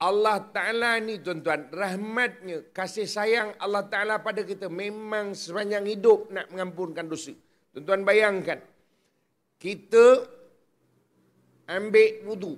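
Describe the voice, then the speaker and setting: This man has a high pitch and an animated tone. He talks at a fairly slow pace. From Melaka, Malaysia. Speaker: religious preacher. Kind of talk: religious public lecture. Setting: outdoor stage with audience. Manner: animated, humorous.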